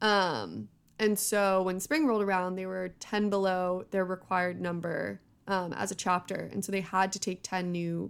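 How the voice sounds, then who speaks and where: On a very clean recording with a silent background, a woman with an American accent uses a normal speaking voice at medium pitch, with ordinary pitch variation and a fairly slow pace. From US West Coast, San Francisco Bay Area. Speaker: tech analyst, host's former college roommate. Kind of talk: casual chat.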